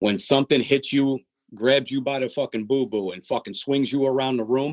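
In a dry, close sound with no echo, a man with an unremarkable speaking voice talks at a moderate pace, at medium pitch with ordinary pitch variation. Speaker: death metal drummer. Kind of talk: casual interview.

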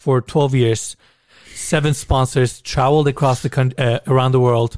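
Recorded very cleanly with a silent background and a dry, close sound with no echo, a man with a medium pitch speaks at a moderate pace in a Turkish accent. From Turkey. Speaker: YouTuber touring luxury homes. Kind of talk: casual chat.

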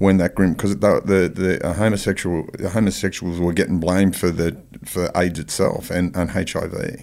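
A man with an Australian accent speaks in a very deep, low pitch with monotone, flat intonation. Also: moderate pace. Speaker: podcast host. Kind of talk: interview.

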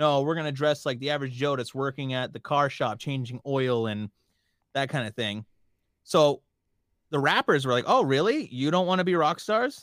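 On a very clean recording with a silent background and a dry, close sound with no echo, a man speaks in a Montreal accent at a moderate pace, his fairly high voice showing ordinary pitch variation. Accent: Canadian English, Montreal area. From First Nations reserve near Montreal, Quebec, Canada. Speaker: pop radio DJ. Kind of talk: casual chat. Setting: recorded podcast interview.

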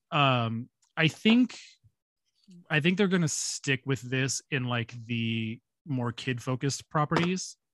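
Speaking at a very slow pace with long, frequent pauses, a man uses a medium pitch and ordinary pitch variation. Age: 30s. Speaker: podcast co-host. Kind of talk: casual chat.

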